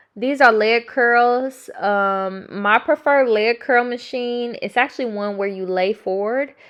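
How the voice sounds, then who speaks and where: A woman speaks in a fairly high voice. Her pitch varies in an ordinary way. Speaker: fitness vlogger. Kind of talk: workout voiceover vlog, casual. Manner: animated, excited.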